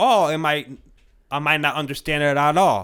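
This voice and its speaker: In a very clean recording with a silent background, a man talks. He has an American accent. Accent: talks a little funny. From Connecticut, US. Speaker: podcast guest. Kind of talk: casual chat. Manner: halting.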